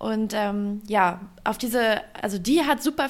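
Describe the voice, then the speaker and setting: A woman with a normal speaking voice talks at a fairly high pitch, her intonation fairly even. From Germany, Upper Harz (Lower Saxony). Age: 20s. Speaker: youth politics leader and trade union secretary. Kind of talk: interview.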